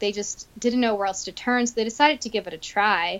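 A woman with an American accent speaks at a medium pitch in an unremarkable speaking voice. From Florida, Tampa area. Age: 30s. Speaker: herbalist. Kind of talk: interview conversation.

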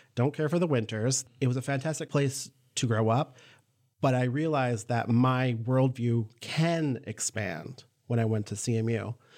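A man speaks with an American accent at a moderate pace, his pitch medium. The recording is very clean, with a silent background. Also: ordinary pitch variation. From Upper Peninsula, Michigan. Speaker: college board chair, lawyer. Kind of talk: interview.

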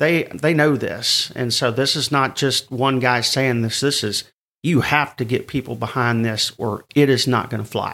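A man's ordinary speaking voice, medium in pitch, in a very clean recording with a silent background. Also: moderate pace. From US South. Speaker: newsletter editor. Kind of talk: casual interview.

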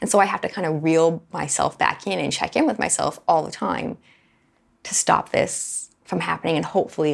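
A woman talks at a moderate pace on a very clean recording with a silent background. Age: 30s. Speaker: podcast host sharing personal story. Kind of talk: personal testimony monologue.

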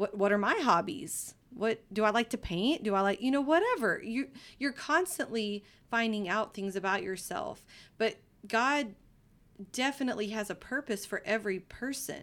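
A woman's fairly high voice at a moderate pace, with a Texan accent, in a very clean recording with a silent background. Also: lively intonation. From East Texas. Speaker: guest, mother. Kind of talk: casual chat.

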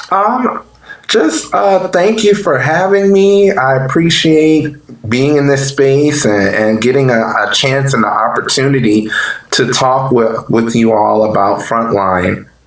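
Through audible room echo and noticeable background noise, a man with a fairly high pitch talks at a fairly slow pace, with very wide pitch swings and very even loudness. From New Orleans, Louisiana. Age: 30s. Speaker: nonprofit case manager. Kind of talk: podcast interview.

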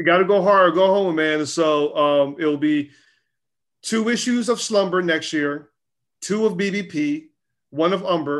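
A man's high-pitched voice with an American accent, at a fairly slow pace, with ordinary pitch variation and a quiet background. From US South, Charlotte, North Carolina. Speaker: publisher and creative director. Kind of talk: casual interview.

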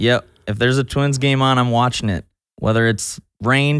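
In a plain, everyday voice with an American accent, a man speaks at a moderate pace and medium pitch with fairly even intonation, on a very clean recording with a silent background. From Minnesota, Burnsville/Eagan area. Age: 20s. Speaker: youth pastor. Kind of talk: casual interview.

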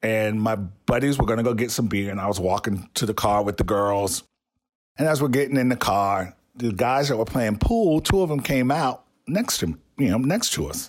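Here is a man with an unremarkable speaking voice and an American accent. His medium pitch carries lively intonation at a moderate pace. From US South. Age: 50s. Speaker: podcast host. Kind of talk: personal storytelling.

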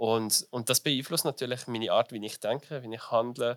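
A plain, everyday voice: a man speaks at medium pitch and a moderate pace with ordinary pitch variation. The sound is dry and close, with no echo. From Switzerland, small village. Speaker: business graduate and drag performer. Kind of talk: interview. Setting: festival.

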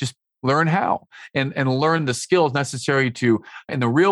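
A man with an ordinary speaking voice talks at medium pitch with ordinary pitch variation. The sound is dry and close with no echo, over a quiet background. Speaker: business coach and author. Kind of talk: podcast interview, storytelling. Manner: upbeat, optimistic.

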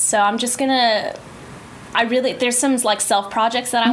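A woman's high-pitched voice amid noticeable background noise. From Guam. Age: 20s. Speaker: musical theater actor. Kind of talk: casual interview chat. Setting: studio.

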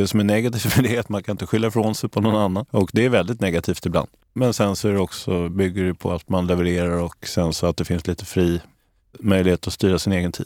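At a very fast pace, a man with a fairly low pitch and ordinary pitch variation speaks on a very clean recording with a silent background. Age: 50s. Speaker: private investor. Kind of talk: casual interview.

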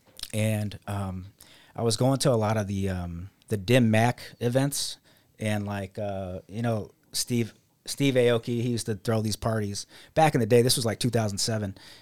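Over a very clean recording with a silent background, a man with an American accent talks at a moderate pace in an unremarkable speaking voice, his fairly low pitch carried by fairly even intonation. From Las Vegas, Nevada. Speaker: photographer. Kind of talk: interview.

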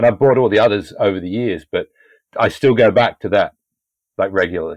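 A man with a British accent at a medium pitch and a fairly quick pace, in a dry, close sound with no echo and a quiet background. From UK. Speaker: podcast host. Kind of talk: casual interview.

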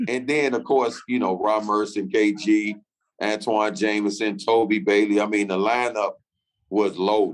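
Delivered in a normal speaking voice with an American accent, the speech moves at a fairly slow pace. The intonation stays fairly even. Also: man, fairly low pitch for a man. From Chicago, US. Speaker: former pro basketball player. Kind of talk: interview.

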